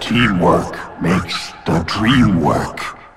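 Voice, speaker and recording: A man puts on a character voice, raspy and very deep and low in pitch. Clear music plays in the background. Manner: halting.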